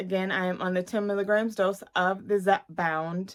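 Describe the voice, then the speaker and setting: A woman speaks in a normal speaking voice at a medium pitch and moderate pace. The recording is very clean, with a silent background. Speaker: weight-loss vlogger. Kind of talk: casual vlog update.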